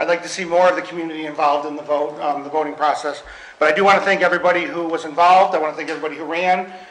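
Against audible room echo, a man talks at a very fast pace with fairly even intonation. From Western New York. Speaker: school board president chairing meeting. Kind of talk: formal meeting proceedings. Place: meeting room. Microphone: podium.

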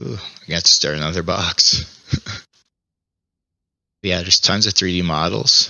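Speaking at a moderate pace with long, frequent pauses, a man uses a very deep, low pitch, ordinary pitch variation, vocal fry and big swings in loudness, in a dry sound with no echo over a quiet background. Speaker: VR gaming YouTuber. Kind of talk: casual VR gameplay commentary. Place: home room. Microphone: headset.

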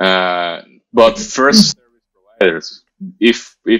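In a quiet setting, the man's pitch varies in an ordinary way. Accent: Spanish. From Venezuela. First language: Spanish. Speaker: motion designer. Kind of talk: interview. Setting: video call. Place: home room. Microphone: video call.

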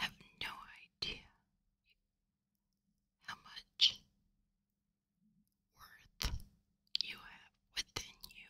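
A woman whispering at a very slow pace, with long, frequent pauses and big swings in loudness. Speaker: ASMR creator. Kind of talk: ASMR personal attention, whispered. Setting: close-mic studio recording with gain turned up. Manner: whispered, soft, intimate. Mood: warm, reassuring. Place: home room. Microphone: studio mic.

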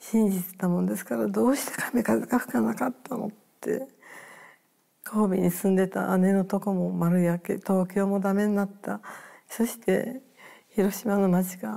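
A woman speaks at a fairly slow pace with a dark, mellow tone and ordinary pitch variation against a quiet background. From Hiroshima, Japan; Japan. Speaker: atomic bomb survivor. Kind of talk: testimony. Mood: somber, reflective recollection. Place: home room.

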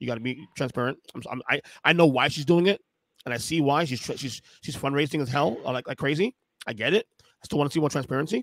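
Talking at a fairly quick pace, a man is heard in a dry sound with no echo against a quiet background. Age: 40s. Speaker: podcast host. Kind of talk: casual chat. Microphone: studio mic.

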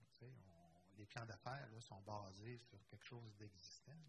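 Somewhat breathy speech with ordinary pitch variation over noticeable background noise. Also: man. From Quebec. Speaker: cooperative federation director; panelist. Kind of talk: conference panel discussion. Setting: conference room with live and online audience. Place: hall. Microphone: handheld.

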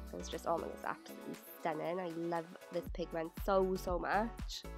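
A woman with a British accent at a moderate pace, with music in the background. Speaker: beauty youtuber. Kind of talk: makeup tutorial voiceover. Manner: casual, chatty.

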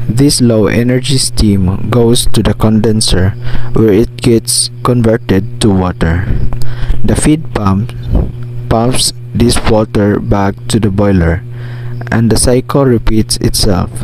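Over background music, a man speaks very slowly in a fairly low voice with fairly even intonation. The sound is dry with no echo. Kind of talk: tutorial. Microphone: phone near.

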